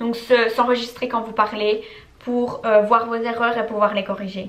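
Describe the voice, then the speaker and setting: A woman's fairly high, monotone voice with flat intonation, over noticeable background noise. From French-speaking. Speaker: YouTuber, English learning tips. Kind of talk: Q&A vlog. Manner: casual, hesitant with fillers.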